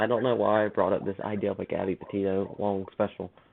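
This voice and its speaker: Very fast speech from a man with a fairly low pitch. Noticeable background noise runs underneath. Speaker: podcast host. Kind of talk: casual chat. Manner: halting; animated.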